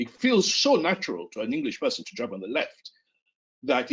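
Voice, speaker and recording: A man with a Yoruba accent. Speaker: psychiatry professor. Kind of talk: interview discussion. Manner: halting.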